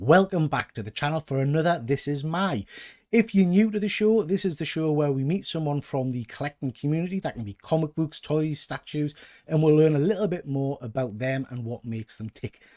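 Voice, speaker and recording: An animated man, fairly high-pitched and fairly quick, with lively intonation in a dry, close sound with no echo. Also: very clean recording, silent background. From northern England, Newcastle. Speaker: YouTube comics collector host. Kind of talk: casual interview chat. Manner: animated, chatty.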